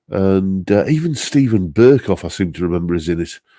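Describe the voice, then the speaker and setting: Relaxed in tone, a dark, mellow voice with a Northeast English accent and lively intonation moves at a moderate pace on a very clean recording with a silent background. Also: man. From northeast England. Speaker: guitarist and live stream host. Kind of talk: casual chat reading live comments. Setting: live stream. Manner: relaxed, many fillers.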